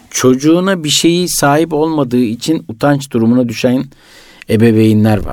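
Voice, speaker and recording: At a moderate pace, a man uses an ordinary speaking voice with ordinary pitch variation. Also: medium pitch for a man. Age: 40s. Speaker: entrepreneur, businessman. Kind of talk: radio interview. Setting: radio studio.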